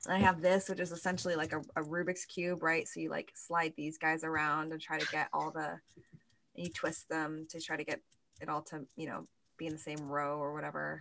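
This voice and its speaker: Using vocal fry, a woman speaks at a moderate pace with a very deep, low pitch and monotone, flat intonation in a very clean recording with a silent background. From California. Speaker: actor. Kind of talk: casual chat.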